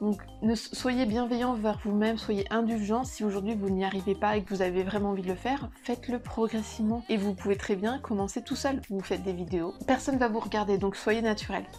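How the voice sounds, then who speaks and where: A woman at medium pitch, speaking fairly quickly with hardly any pauses over music in the background. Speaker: lifestyle vlogger. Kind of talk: casual vlog talk to camera. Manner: fast; animated.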